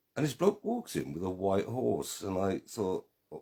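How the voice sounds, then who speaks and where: Speaking fairly slowly in a Welsh accent, a man uses a fairly low pitch with a dark, mellow tone and vocal fry. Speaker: online group admin and quiz host. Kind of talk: live quiz hosting. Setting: live stream. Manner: slightly slurred speech from strokes.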